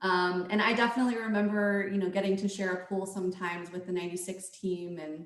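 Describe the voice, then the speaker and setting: A woman with an American accent talks fairly quickly at medium pitch, with audible room echo. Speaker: former athlete. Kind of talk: casual chat. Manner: halting.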